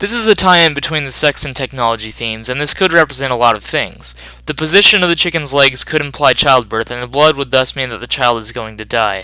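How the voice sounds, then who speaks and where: A man at medium pitch rushes along at a very fast pace with hardly any pauses and ordinary pitch variation, over noticeable background noise. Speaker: film analysis youtuber. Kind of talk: scripted narration.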